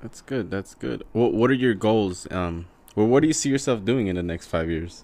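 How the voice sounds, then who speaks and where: Using an ordinary speaking voice, a man speaks at a moderate pace in a fairly low pitch with lively intonation. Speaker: podcast co-host. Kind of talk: casual chat.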